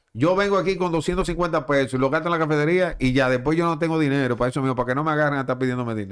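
A man speaks at a very fast pace with hardly any pauses, his pitch fairly high and its variation ordinary, against a quiet background. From Dominican Republic. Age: 40s. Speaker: sports journalist and baseball broadcaster; sports journalist. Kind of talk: casual chat. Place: studio. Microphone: studio mic.

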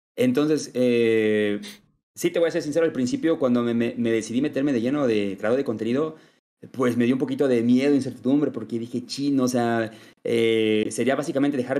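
Over a quiet background, a man talks at a medium pitch in a dark, mellow tone with ordinary pitch variation. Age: 20s. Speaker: gaming content creator. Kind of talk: casual chat. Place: home room. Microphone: video call.

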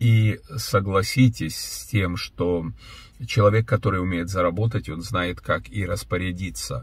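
A man's fairly low, somewhat breathy voice at a fairly slow pace, with ordinary pitch variation and a quiet background. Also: dry sound with no echo. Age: 60s. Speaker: pastor and businessman; pastor. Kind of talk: video blog monologue answering viewer questions. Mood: earnest, reflective. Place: car. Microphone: phone near.

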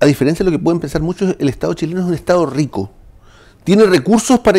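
Speaking at a very fast pace, a man has a dark, mellow tone and lively intonation against a quiet background. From southern Chile, Chiloé (Ancud); southern Chile. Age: 60s. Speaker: municipal administrator and former official; interview guest. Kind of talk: political interview. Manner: halting, repeating words. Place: studio.

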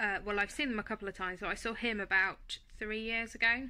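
Quick-paced and fairly even in intonation, a woman's voice comes across in a bright, sharp tone. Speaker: vlogger. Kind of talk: casual vlog chat. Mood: calm, matter-of-fact. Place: home room. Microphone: phone near.

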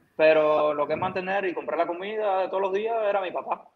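A man speaks with a Cuban accent. His pace is fairly quick. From Camagüey, Cuba. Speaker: baseball pitcher; guest. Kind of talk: casual interview. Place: home room. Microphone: video call.

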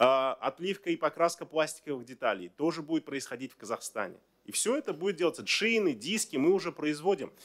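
Against a quiet background, a man speaks fairly quickly with lively intonation and vocal fry. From Kazakhstan. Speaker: government minister. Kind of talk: press briefing answers. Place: hall. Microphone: podium.

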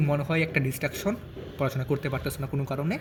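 This man's voice is fairly high and somewhat breathy, with fairly even intonation. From Bangladesh, Gazipur. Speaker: medical student and study advice YouTuber. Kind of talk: advice talk to students. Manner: casual, with pauses.

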